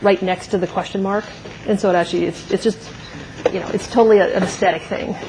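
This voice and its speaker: Very rapid female speech over obvious background noise. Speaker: university lecturer. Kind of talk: lecture. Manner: fast.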